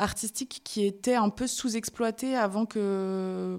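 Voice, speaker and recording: The recording is very clean and the background silent. A woman talks with fairly level intonation. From France. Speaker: dancer and activist. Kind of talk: interview. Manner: frequent hesitations (euh).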